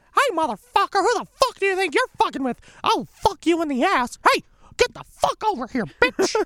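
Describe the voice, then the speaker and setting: An extremely high, squeaky put-on character voice swings very widely in pitch. It moves at a moderate pace. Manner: aggressive, threatening.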